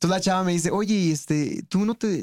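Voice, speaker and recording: A man's high-pitched voice at a fairly quick pace, the sound dry and close with no echo. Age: 30s. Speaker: stand-up comedian. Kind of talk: casual chat.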